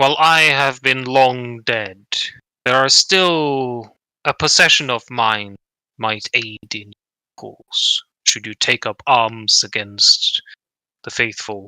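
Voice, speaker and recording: A man puts on a character voice at a medium pitch, speaking at a very slow pace in a very clean recording with a silent background. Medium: actual play. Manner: solemn, archaic and formal.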